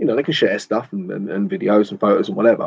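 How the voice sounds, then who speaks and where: A man talks at a very fast pace with a southern English accent. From southern England, near London. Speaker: photography vlogger. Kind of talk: casual livestream chat. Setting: garden studio, livestream. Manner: rambling, informal.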